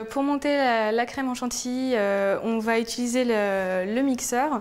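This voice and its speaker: A woman talks fairly slowly in a high pitch with fairly even intonation. Room echo is audible. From France, Lyon. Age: 20s. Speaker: food blogger. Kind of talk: cooking tutorial. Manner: hesitant, frequent fillers and repetitions.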